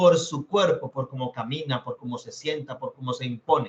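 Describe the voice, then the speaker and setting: The speaker is a man. He talks at a moderate pace. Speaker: teacher. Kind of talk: lecture.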